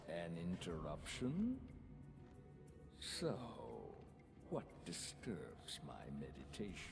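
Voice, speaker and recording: A man's put-on, menacing character voice, very deep and very slow, with long, frequent pauses over loud background noise. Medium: video game. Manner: menacing, haughty.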